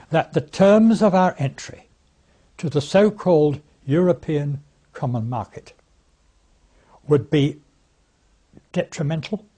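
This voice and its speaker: With an English accent, a man speaks in a dark, mellow tone at a fairly high pitch, his intonation lively and broken by long, frequent pauses. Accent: English, older RP-style. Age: 80s+. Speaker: campaign speaker, former politician. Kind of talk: recorded political talk. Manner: halting, with many fillers; formal.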